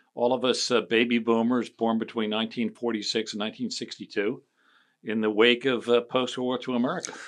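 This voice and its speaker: Against a quiet background, a man with a medium pitch and a Philadelphia accent speaks at a fairly quick pace in a monotone, flat intonation. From Philadelphia area, Chester County. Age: 60s. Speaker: political strategist. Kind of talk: casual chat.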